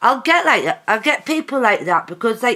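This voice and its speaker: A loud woman's voice with an English accent, a bright, sharp tone and lively intonation. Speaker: vlogger. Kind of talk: casual vlog monologue.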